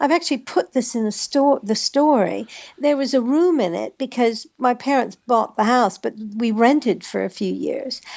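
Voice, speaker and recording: A woman speaks with an American accent in a high voice. Her intonation is lively. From US Northwest, Spokane, Washington. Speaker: author and actress. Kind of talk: casual chat.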